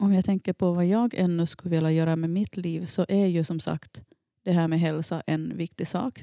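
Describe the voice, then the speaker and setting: A woman speaks at a moderate pace in an unremarkable speaking voice, fairly low in pitch, with a dry, close sound and no echo. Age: 40s. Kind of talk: casual chat.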